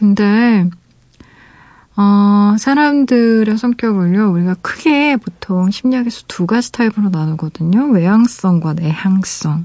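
This is a woman at medium pitch. She speaks at a very slow pace. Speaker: radio DJ and novelist. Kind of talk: late-night radio chat reading listener letters. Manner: warm, with frequent hesitations.

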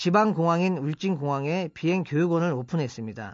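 A man with a high pitch speaks at a fairly slow pace with lively intonation. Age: 40s. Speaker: company founder. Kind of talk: radio talk. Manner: formal.

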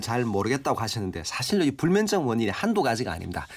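Very fast speech with very wide pitch swings and vocal fry. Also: man. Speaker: professor of Korean medicine. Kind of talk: expert health advice. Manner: formal, explanatory.

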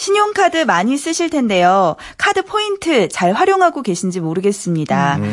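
Noticeable background noise surrounds a woman with a fairly high voice. She speaks at a moderate pace, her pitch swinging very widely. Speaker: news reporter. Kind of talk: news segment reading. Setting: radio studio.

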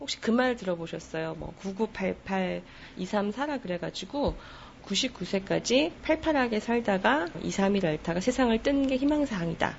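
Speaking very slowly, a woman uses lively intonation. Her pitch is medium. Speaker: book editor. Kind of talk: interview.

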